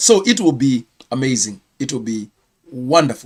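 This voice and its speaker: The sound is dry and close, with no echo. A man talks at a moderate pace with a Kenyan accent. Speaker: pastor and channel host. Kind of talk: live stream news round-up. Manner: hesitant, with many fillers.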